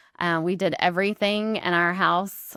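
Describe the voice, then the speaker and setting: The sound is dry and close, with no echo. A woman with a Georgia accent speaks at a fairly low pitch in monotone, flat intonation. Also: very clean recording, silent background. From US South, Macon, Georgia. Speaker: real estate investor, host's wife. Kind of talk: casual podcast interview.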